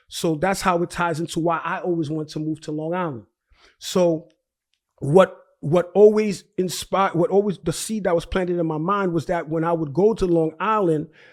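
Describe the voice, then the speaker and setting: A man with a New York accent, high-pitched, at a moderate pace and with fairly even intonation, on a very clean recording against a silent background. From Brooklyn, New York (Haitian family). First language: Haitian Creole. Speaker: real estate investor. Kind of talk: interview. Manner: halting, many repetitions.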